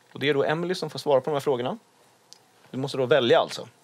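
A man's voice sits fairly high. Noticeable noise fills the background. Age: 20s. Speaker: podcast host. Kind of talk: casual chat.

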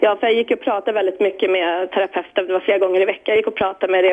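A woman of medium pitch at a very fast pace over noticeable background noise. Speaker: caller. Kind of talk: casual chat.

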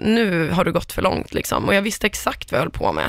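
A woman talks with vocal fry. Her intonation is lively. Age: 30s. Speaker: entertainment editor and podcaster. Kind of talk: casual chat.

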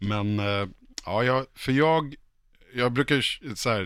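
A man's bright, sharp tone with lively intonation, on a very clean recording with a silent background. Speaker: podcast panelist. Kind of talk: casual chat.

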